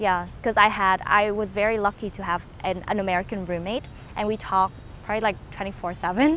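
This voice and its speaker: A woman speaks very fast with a Vietnamese accent, her pitch medium. Her intonation stays fairly even. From northern Vietnam, Hanoi. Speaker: content creator. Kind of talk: interview. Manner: hesitant, many fillers.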